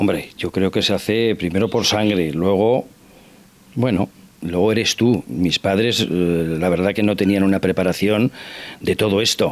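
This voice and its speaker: A man talks at a fairly slow pace in an ordinary speaking voice. His pitch is fairly low, with ordinary pitch variation. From Basque Country (Irun area). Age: 60s. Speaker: interview guest. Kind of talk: TV interview. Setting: at his home.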